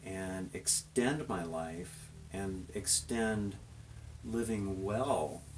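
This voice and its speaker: A man speaks very slowly in a very deep, low voice, somewhat breathy, with ordinary pitch variation and audible room echo. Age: 50s. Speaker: interviewer, fitness channel host. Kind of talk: casual interview.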